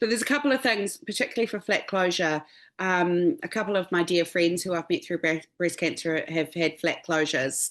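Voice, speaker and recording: With a New Zealand accent, a woman speaks fairly quickly at a fairly low pitch, her loudness very even and her pitch varying in an ordinary way against a quiet background. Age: 50s. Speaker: stylist. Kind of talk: webinar interview.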